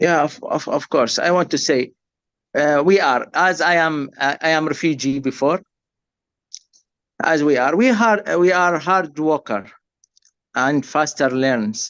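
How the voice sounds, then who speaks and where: Against a quiet background, a man with an Arabic accent talks in a fairly high pitch, leaving long, frequent pauses. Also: ordinary pitch variation, fairly slow pace. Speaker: refugee worker, nurse. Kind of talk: webinar testimony. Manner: halting, repeats words.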